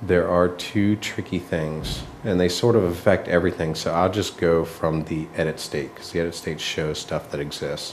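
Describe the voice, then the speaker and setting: A soft-spoken man with a very deep, low pitch, fairly even intonation, a moderate pace, and hardly any pauses. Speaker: app designer. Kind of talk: work meeting presentation. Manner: soft-spoken, kept low; halting, many fillers.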